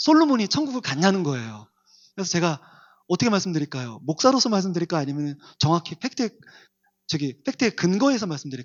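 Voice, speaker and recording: A soft-spoken man's high voice at a fairly quick pace, with very wide pitch swings. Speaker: pastor. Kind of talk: sermon. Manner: varies between loud and soft.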